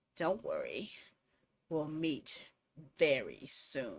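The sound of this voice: A put-on character voice, gruff and hoarse, carries a menacing tone. It moves at a very slow pace.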